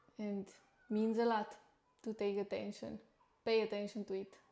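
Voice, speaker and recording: A woman with a non-native accent, fairly high in pitch, at a fairly slow pace. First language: not English. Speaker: livestreamer and nutritionist. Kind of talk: casual livestream talk. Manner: halting.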